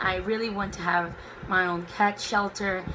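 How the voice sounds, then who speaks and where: A woman with a Portuguese accent, medium pitch and monotone, flat intonation, speaking fairly slowly amid audible room echo and noticeable background noise. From Brazil, Belo Horizonte. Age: 20s. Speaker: book vlogger. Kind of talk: casual chat. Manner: spontaneous, unscripted.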